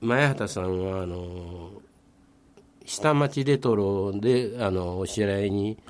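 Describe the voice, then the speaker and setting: With a Kobe accent, a man speaks at a very slow pace. His voice is fairly low, with ordinary pitch variation. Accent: Kansai (Kobe) dialect. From Nagata, Kobe, Japan. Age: 70s. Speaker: local community figure. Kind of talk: radio interview.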